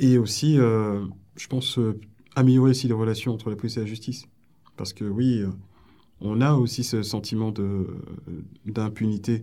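A man's dark, mellow voice at medium pitch, with fairly even intonation and long, frequent pauses. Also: moderate pace. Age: 40s. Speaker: police officer. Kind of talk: interview. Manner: hesitant, many fillers.

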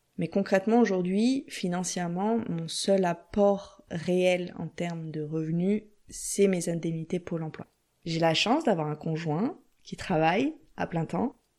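A woman with a dark, mellow tone and a fairly low pitch speaks over a quiet background. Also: ordinary pitch variation, fairly slow pace. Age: 30s. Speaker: entrepreneur in career change. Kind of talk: interview.

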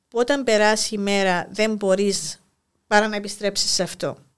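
Here a woman is speaking. Her pace is moderate. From Cyprus, Famagusta. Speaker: school inspector and poet. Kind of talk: interview.

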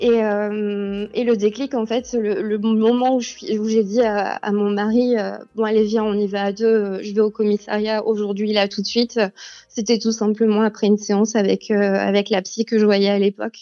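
A woman speaks in a fairly high pitch with a monotone, flat intonation. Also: fairly slow pace. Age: 30s. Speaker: teacher, abuse survivor. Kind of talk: testimony. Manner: hesitant, many fillers.

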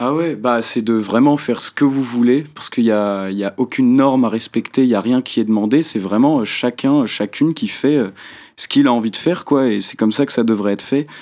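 Speaking at a fairly quick pace, a man uses an unremarkable speaking voice, medium in pitch and with ordinary pitch variation. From Brittany, France. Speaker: young musician and columnist. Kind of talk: radio talk show. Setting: radio studio.

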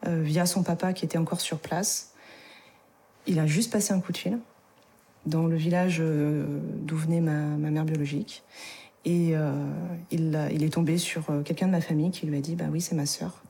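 A woman speaks at a moderate pace with a fairly low, somewhat breathy voice and a dark, mellow tone. Her intonation is fairly even, her loudness very even, and she takes long, frequent pauses. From France, Isère. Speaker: adoptee and adoptee association member. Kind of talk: testimony.

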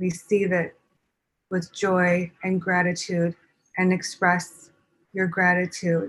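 A woman's medium-pitched, somewhat breathy voice at a very slow pace, with very even loudness and long, frequent pauses. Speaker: spiritual channeler and medium. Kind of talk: interview and spiritual teaching.

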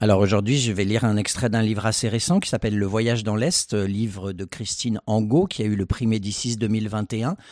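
In a plain, everyday voice, a man speaks at a moderate pace and fairly low pitch with fairly even intonation, on a very clean recording with a silent background. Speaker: reader. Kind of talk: reading aloud.

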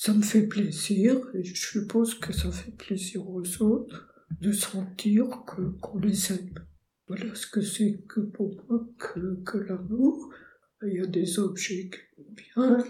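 A soft-spoken woman, very slow, with fairly even intonation, big swings in loudness, a dark, mellow tone, medium pitch, some breathiness and audible room echo. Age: 80s+. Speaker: retired painter and poet. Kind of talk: interview.

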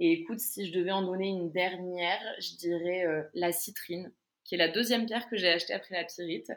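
A woman talks at a moderate pace in a medium pitch with fairly even intonation. The recording is very clean, with a silent background. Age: 20s. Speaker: online crystal shop owner. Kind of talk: interview. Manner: halting.

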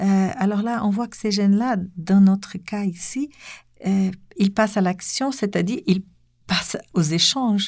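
Speaking with a Portuguese accent, a woman uses a medium pitch and a somewhat breathy voice, with ordinary pitch variation. Her pace is fairly slow, and the recording is very clean with a silent background. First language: Portuguese (speaking French). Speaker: French teacher, association president. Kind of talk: interview.

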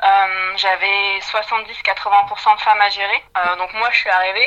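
A woman speaks at a medium pitch in a flat monotone. Noticeable background noise is present. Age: 20s. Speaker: HR development manager. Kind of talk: interview.

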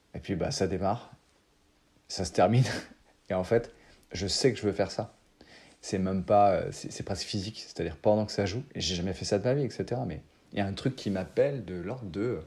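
A man's dark, mellow voice, fairly low in pitch with ordinary variation, at a moderate pace broken by long, frequent pauses. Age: 30s. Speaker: improv actor. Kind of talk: interview conversation. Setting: remote call. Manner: hesitant, many fillers.

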